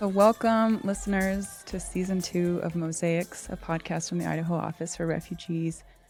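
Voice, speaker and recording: Over music in the background, a woman with fairly low pitch speaks in a monotone, flat intonation at a moderate pace with hardly any pauses. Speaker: podcast host. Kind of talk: podcast interview.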